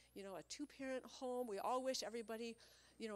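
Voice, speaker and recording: Using an unremarkable speaking voice, a woman talks fairly high in pitch, varying it in an ordinary way. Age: 50s. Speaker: mother speaking at a moms' group. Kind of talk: personal talk to a live audience.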